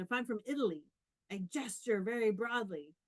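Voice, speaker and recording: A woman with a Canadian accent speaks in a plain, everyday voice at a moderate pace with ordinary pitch variation, recorded with a dry, close sound and no echo. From Canada. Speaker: professor. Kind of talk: conference talk.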